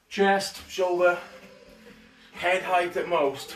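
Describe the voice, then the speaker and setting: A man's high-pitched voice amid audible room echo and faint music in the background. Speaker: fitness instructor. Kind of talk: live workout instruction. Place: home room. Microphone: camera far.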